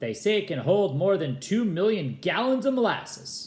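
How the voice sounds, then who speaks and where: A man puts on a character voice, pitched high with very wide pitch swings. He delivers it at a moderate pace. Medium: read story.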